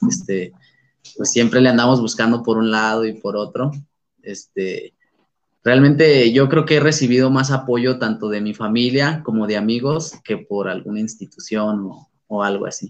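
With an unremarkable speaking voice, a man talks at medium pitch and a moderate pace with ordinary pitch variation. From San Luis Potosí, Mexico. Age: 20s. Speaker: amateur MMA fighter. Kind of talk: interview.

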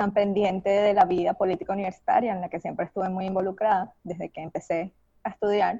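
A woman with a Venezuelan accent, medium in pitch, dark and mellow in tone, at a fairly quick pace. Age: 30s. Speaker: graduate student. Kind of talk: interview.

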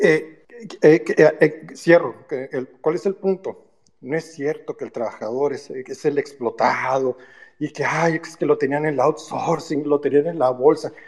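A man with a plain, everyday voice talks at a fairly slow pace in a fairly high pitch, his intonation fairly even but with big swings in loudness. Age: 50s. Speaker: engineer and business owner. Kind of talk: personal testimony.

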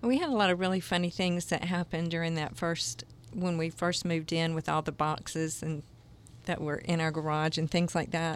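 Speaking at a fairly quick pace, a woman with a Southern US accent keeps a fairly low pitch and very even loudness. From US South, Jacksonville, Florida. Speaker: microchurch leader. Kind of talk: interview.

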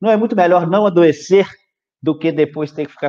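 A man's voice with ordinary pitch variation. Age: 40s. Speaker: physiologist, nutrition specialist. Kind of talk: live stream health talk. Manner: calm.

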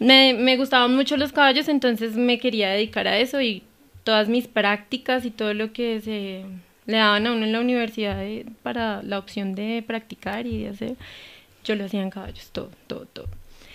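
In a normal speaking voice, a woman talks at a moderate pace with fairly even intonation and a fairly high pitch. The recording is very clean and the background silent. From Colombia, Cundinamarca countryside (Gachetá). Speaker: veterinarian and clinic owner. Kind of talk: casual interview.

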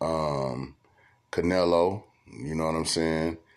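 The man's pitch is very deep and low, varying in an ordinary way as he talks at a very slow pace. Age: 40s. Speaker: podcast host. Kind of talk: casual monologue. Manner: conversational with filler words.

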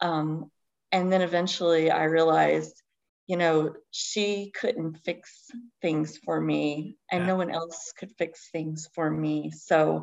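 With an Appalachian accent, a woman speaks at a very slow pace in a very deep, low pitch, her intonation fairly even. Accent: Appalachian US Southern. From Eastern Kentucky. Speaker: novelist. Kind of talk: podcast interview.

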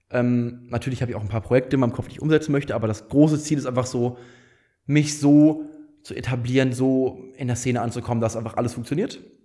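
This man's voice sits at a medium pitch with fairly even intonation. He talks very fast. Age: 20s. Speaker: startup founder and managing director. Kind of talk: casual chat.

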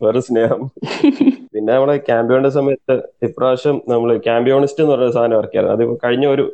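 A man speaks at a medium pitch in a monotone, flat intonation. His loudness stays very even. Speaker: engineering student. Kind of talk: casual interview. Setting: phone call.

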